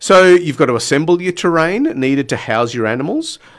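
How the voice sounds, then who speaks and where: A man keeps a moderate tempo, speaking in an unremarkable speaking voice. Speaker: radio host. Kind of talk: radio dj patter. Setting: radio studio. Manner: punchy, upbeat, teasing radio-announcer tone.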